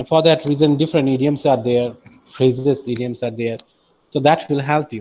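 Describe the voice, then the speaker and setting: A man with a Bengali accent talks at a fairly quick pace with fairly even intonation. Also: medium pitch for a man. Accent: Bengali-accented Indian English. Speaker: teacher. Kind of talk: lecture.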